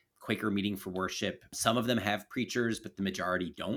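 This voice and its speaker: On a very clean recording with a silent background, a man with an American accent has an unremarkable speaking voice and a fairly low pitch. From US, Baltimore. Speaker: political philosopher and author. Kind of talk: podcast interview conversation.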